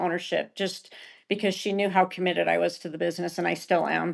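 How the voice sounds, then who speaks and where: A woman with an American accent, an ordinary speaking voice and medium pitch, over a quiet background. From Utah. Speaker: esthetician and med spa co-owner. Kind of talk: podcast interview.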